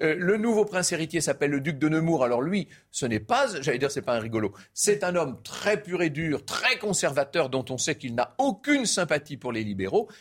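Speaking at a moderate pace with hardly any pauses, a man uses a fairly high pitch that swings very widely. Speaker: history storyteller. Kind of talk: history talk show.

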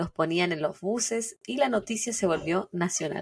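Somewhat breathy, a woman speaks with a Chilean accent and lively intonation. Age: 30s. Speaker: true crime podcast co-host. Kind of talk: storytelling narration.

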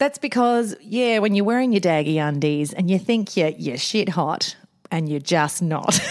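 Very wide pitch swings in an Australian accent at a moderate pace, with noticeable background noise. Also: woman, medium pitch for a woman. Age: 40s. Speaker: podcast co-host, mother. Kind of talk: casual chat. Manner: animated.

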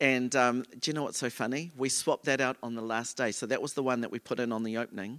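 A man talks in a New Zealand accent at medium pitch with fairly even intonation. The recording is very clean with a silent background, its sound dry and close with no echo. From New Zealand, Auckland. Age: 40s. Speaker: choreographer and dancer. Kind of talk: live onstage interview. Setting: stage with audience.

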